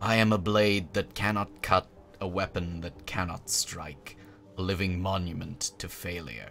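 With music in the background, a man speaks in a very deep, low pitch. His voice rumbles, with ordinary pitch variation. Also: moderate pace. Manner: grim, bitter.

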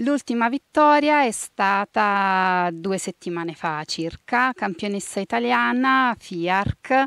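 Very wide pitch swings mark this woman's voice. The sound is dry with no echo, and the background is quiet. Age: 30s. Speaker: national team archer. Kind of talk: interview. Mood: proud, smiling. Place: forest. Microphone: handheld.

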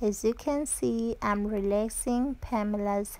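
The woman's pace is very slow. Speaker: channel host. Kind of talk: tutorial. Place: home room. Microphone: camera far.

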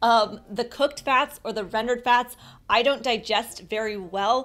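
Faint music plays behind a woman who speaks at a moderate pace with fairly even intonation. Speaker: diet vlogger. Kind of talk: casual vlog chat. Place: home room.

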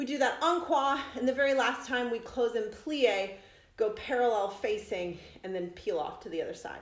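Audible room echo surrounds the speech. A woman is talking at a moderate pace. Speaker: dance fitness instructor. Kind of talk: exercise class instruction. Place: home room. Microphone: phone near.

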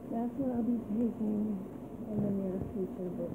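A soft-spoken woman over loud background noise. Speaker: vlogger after childbirth. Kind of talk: casual vlog chat. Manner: drowsy, slow, medicated murmur. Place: home room. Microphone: phone near.

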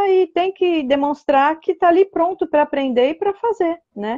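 The background stays quiet. A woman talks at a fairly slow pace. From Brazil, São Paulo state (Ribeirão Preto region); São Paulo state, Brazil. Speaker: fluent German learner, host's mother; host's mother. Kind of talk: live stream chat. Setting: Instagram live. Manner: calm. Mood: warm, encouraging. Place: home room. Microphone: earbuds.

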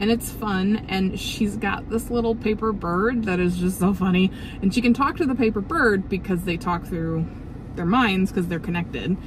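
A woman speaks at a moderate pace with ordinary pitch variation. The sound is dry with no echo, and there is noticeable background noise. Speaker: book vlogger. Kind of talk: casual vlog chat. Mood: cheerful, enthusiastic. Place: car. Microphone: phone near.

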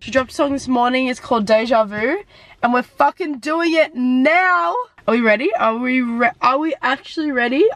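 A woman sounds excited, her voice high in pitch. Noticeable background noise runs underneath. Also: lively intonation, moderate pace. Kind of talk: casual reaction video talk.

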